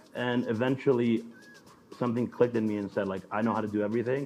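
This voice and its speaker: A man with an American accent talks at a very fast pace. His intonation stays fairly even, with music in the background. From New York, with early childhood in Mexico. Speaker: DJ. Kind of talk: casual interview.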